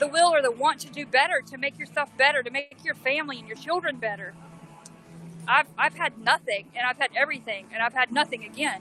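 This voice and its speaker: A raised, projected voice in a Southern US accent moves at a fairly quick pace with ordinary pitch variation and big swings in loudness. The sound is dry and close, with no echo. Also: woman, high pitch for a woman. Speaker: protester and livestreamer. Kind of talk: impassioned speech to livestream; livestream chat. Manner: animated.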